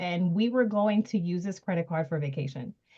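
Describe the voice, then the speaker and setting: A woman talks at a moderate pace with lively intonation in a somewhat breathy voice. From US, Dominican immigrant family. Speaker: panelist. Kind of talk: panel discussion.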